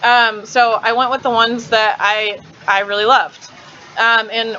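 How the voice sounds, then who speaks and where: Noticeable background noise behind a voice with an American accent. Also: woman. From Kansas. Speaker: live streamer. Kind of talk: live stream chat. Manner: fast; casual, chatty.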